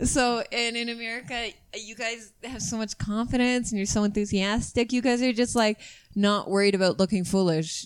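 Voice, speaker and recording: An ordinary speaking voice with a Canadian accent talks at a moderate pace with fairly even intonation on a very clean recording with a silent background. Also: woman, fairly high pitch for a woman. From Canada. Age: 30s. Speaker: comedian. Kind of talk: casual chat.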